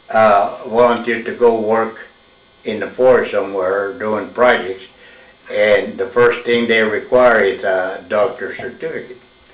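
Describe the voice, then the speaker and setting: The pace of speech is fairly slow. Noticeable background noise runs underneath. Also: man. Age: 80s+. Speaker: military veteran and former smokejumper. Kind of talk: oral history interview. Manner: halting.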